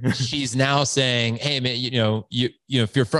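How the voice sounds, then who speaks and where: The background is quiet as a man talks at a moderate pace. His pitch sits in the medium range. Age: 40s. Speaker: founder of a fathers' community, podcast guest. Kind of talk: podcast interview. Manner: animated.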